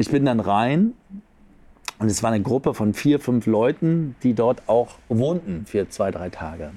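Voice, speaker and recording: A man of medium pitch with a dark, mellow tone and lively intonation, at a very slow pace with long, frequent pauses. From Berlin, Germany. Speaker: coach and seminar leader. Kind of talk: casual interview.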